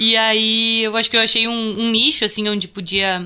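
A woman with a gaúcho accent, a bright, sharp tone, a fairly high pitch and a moderate pace. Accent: Bagé (gaúcho). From Bagé, Rio Grande do Sul, southern Brazil. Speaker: musician and music researcher. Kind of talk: interview.

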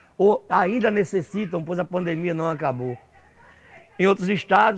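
This man speaks at a high pitch. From Rio Grande do Norte, Brazil (Natal). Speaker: social movement activist. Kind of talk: prerecorded talk.

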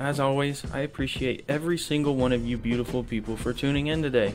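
Music in the background beneath a man's medium-pitched speech at a moderate pace. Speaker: podcast host. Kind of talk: casual, profane.

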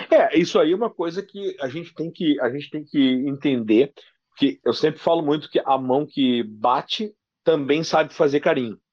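The speaker has a southern Brazilian accent and a moderate pace. Pitch variation is ordinary, and the background is quiet. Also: man, fairly high pitch for a man. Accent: gaúcho Brazilian Portuguese. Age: 40s. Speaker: sports radio journalist. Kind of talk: casual interview.

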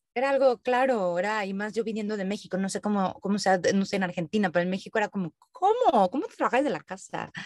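At a very fast pace, a woman talks in a medium pitch with ordinary pitch variation, the sound dry and close with no echo. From Mexico. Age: 30s. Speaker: digital nomad, content creator. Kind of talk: interview conversation.

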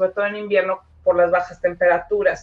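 The woman has a normal speaking voice, pitched in the medium range with ordinary pitch variation. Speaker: Mexican expat guest. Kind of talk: casual chat.

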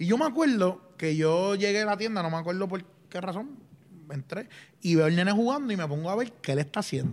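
With a Puerto Rican accent, a man talks at a fairly quick pace in a high pitch and with lively intonation. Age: 30s. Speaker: podcast co-host. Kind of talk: casual chat.

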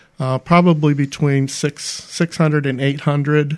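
An unremarkable speaking voice from a man with an American accent, fairly high in pitch with fairly even intonation, over a quiet background. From Pennsylvania, Pittsburgh area. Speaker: homeless advocacy nonprofit director. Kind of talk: radio interview.

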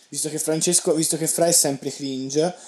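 Amid noticeable background noise, a man talks at a very fast pace with a fairly high pitch. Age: young. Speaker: podcast co-host, university student. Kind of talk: casual chat. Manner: animated.

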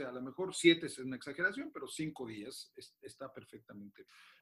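A man's bright, sharp tone comes at a fairly quick pace. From Mexico City. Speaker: orthopedic surgeon. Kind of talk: interview.

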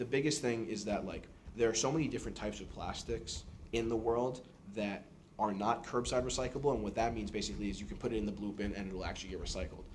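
With an American accent, a man speaks at a very fast pace in a medium pitch with ordinary pitch variation, and audible room echo can be heard. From New York City. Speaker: engineering student. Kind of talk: podcast interview.

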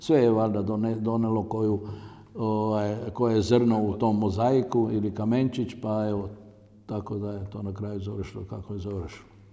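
In a room with audible echo, a man speaks at a moderate pace with a fairly low pitch, a dark, mellow tone and monotone, flat intonation. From Croatia, Zagorje region. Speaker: entrepreneur and company founder. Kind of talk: interview. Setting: on location at company site. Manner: halting.

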